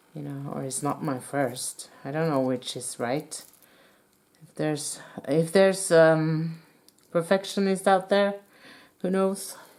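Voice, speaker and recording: With a Norwegian accent, a woman talks fairly slowly at a fairly low pitch with ordinary pitch variation. Long, frequent pauses and big swings in loudness mark her delivery. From Norway. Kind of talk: tutorial. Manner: halting.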